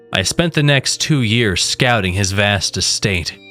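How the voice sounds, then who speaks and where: Music plays in the background. A man with a fairly low pitch talks at a fairly slow pace. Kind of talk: horror story narration.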